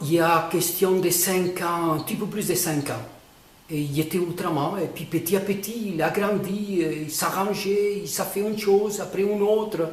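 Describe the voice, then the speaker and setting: A man talks at a fairly slow pace with fairly even intonation, with audible room echo and noticeable background noise. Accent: non-native. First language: not French (speaking French). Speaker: painter explaining his own artwork. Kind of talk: casual explanation of a painting. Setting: artist's studio. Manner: halting, many hesitations.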